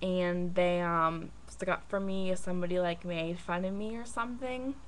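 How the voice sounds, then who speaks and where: This recording features a female speaker. Background noise is noticeable, and the room echo can be heard. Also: medium pitch for a woman, ordinary pitch variation, moderate pace. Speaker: vlogger. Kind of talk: personal vlog. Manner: halting.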